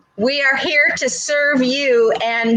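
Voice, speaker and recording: Lively intonation marks a woman's high-pitched voice at a very slow pace. Noticeable background noise is present. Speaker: health talk show host. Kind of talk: casual chat. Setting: basement. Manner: loud.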